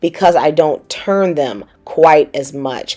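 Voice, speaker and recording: A woman speaks with a Southern US accent. Her tone is dark and mellow. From US South. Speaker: cooking channel host. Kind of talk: cooking tutorial. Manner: casual, chatty.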